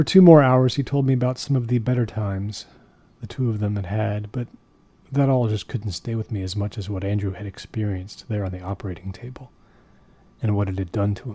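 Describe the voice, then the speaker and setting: At a fairly quick pace, a man delivers his lines in a deadpan tone, his fairly low voice dark, mellow and somewhat breathy. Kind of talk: first-person horror narration. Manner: low, measured, deadpan storytelling that builds dread.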